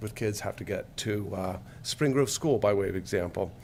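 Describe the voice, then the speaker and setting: Somewhat breathy, a man speaks at a moderate pace with a fairly low pitch. His pitch variation is ordinary. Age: 60s. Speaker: public commenter. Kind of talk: public comment at hearing. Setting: podium at public meeting. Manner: halting, many filler words.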